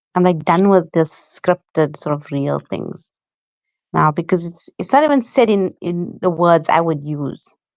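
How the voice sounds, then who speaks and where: Speaking at a fairly slow pace with an South African accent, a woman with a fairly low pitch and ordinary pitch variation is heard in a dry, close recording with no echo, very clean against a silent background. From South Africa, Johannesburg. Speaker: content creator. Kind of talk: casual chat.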